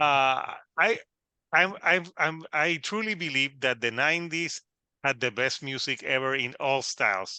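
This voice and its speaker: In a Puerto Rican accent, a man speaks at a fairly slow pace with a bright, sharp tone and fairly high pitch, the sound dry and close with no echo against a quiet background. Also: lively intonation. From Puerto Rico. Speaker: podcast host. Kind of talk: casual interview. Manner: halting, many fillers and repetitions.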